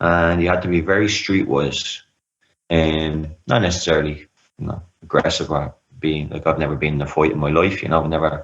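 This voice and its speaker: A man with an Irish accent speaks at a fairly quick pace in a very deep, low voice, his intonation fairly even. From Ireland, Dublin. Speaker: anxiety recovery coach. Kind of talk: interview, personal story.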